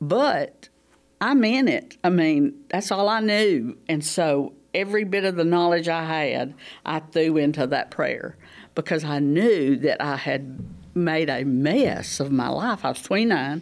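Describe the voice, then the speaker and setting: The speaker goes at a fairly slow pace with lively intonation. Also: woman, fairly low pitch for a woman. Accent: Southern US. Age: 70s. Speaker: small group leader. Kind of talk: testimony. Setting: studio.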